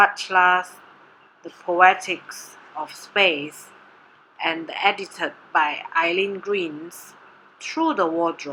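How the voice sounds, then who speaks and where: Her tone bright and sharp, a woman speaks at a very slow pace and medium pitch, with ordinary pitch variation and long, frequent pauses. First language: Mandarin. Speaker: doctoral candidate presenting research. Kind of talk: presentation. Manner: formal.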